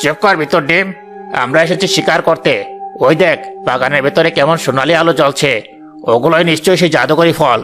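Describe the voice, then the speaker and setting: Over clear music in the background, a man does a cartoonish character voice at a fairly high pitch and a moderate pace. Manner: boastful, bossy.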